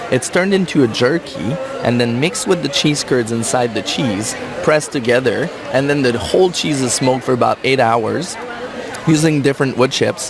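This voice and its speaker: Crowd noise fills the background and audible room echo surrounds a man speaking at a moderate pace. His pitch is medium, with ordinary variation. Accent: French-Canadian. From Quebec. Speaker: cheese expert. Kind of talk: casual interview chat. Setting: radio booth at a trade show.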